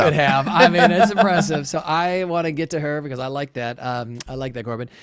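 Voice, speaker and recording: A man talks at a fairly quick pace with a fairly high pitch and lively intonation. Noticeable background noise can be heard. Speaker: actor, podcast host. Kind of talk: casual podcast talk.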